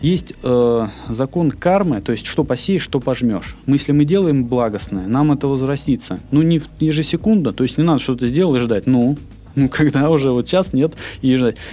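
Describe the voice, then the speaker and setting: Music plays behind a man speaking at a medium pitch and moderate pace. His loudness stays very even, and his pitch variation is ordinary. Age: young. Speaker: entrepreneur. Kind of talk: casual interview. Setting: studio.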